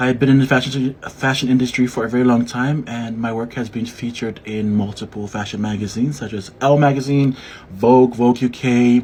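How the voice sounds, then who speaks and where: Against noticeable background noise, a man of medium pitch talks at a fairly quick pace with hardly any pauses in a monotone, flat intonation. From Samoa. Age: 30s. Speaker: fashion designer. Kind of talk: casual self-introduction video. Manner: casual, hesitant with fillers.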